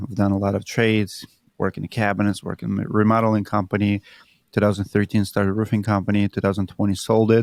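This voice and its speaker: A man's fairly low voice in a Russian accent. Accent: Russian accent, noticeable. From Siberia, Russia. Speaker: roofing entrepreneur. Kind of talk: interview.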